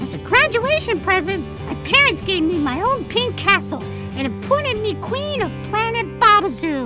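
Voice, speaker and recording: A female-sounding cartoonish character voice over clear music in the background. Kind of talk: cartoon character monologue. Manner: upbeat, chatty.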